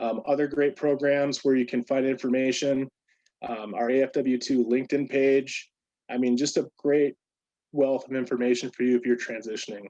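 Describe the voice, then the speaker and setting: A man's medium-pitched voice, dark and mellow in tone, with fairly even intonation. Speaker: program staff presenter, military veteran. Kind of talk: virtual presentation. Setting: video call. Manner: fast.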